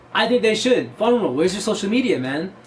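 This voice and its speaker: Over music in the background, a man talks at a fairly quick pace in an animated tone, with very wide pitch swings. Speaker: mask collector YouTuber. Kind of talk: casual chat. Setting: in front of a camera. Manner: halting.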